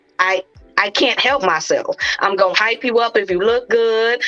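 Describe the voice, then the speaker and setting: A woman's animated tone at a moderate pace, over noticeable background noise. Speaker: podcast co-host. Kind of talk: casual chat. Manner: loud.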